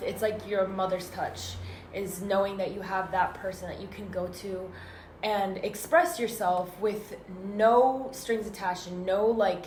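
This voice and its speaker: Over noticeable background noise and audible room echo, a woman with a medium pitch speaks at a fairly slow pace, her intonation fairly even while her loudness swings widely. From Northern California (Danville, East Bay). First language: Arabic. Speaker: student podcaster. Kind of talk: casual chat. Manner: halting.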